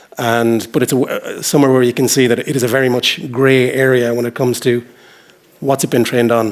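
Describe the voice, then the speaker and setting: This man has a western Irish accent and a medium pitch. He talks at a very fast pace with fairly even intonation. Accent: Irish (west of Ireland). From Ireland, Galway (west coast). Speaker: journal editor. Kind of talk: conference talk. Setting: stage with audience. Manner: hesitant, with fillers and repetitions.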